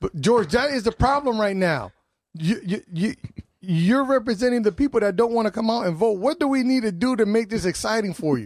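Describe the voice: Speech comes at a fairly quick pace. Its intonation is lively. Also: man, high pitch for a man.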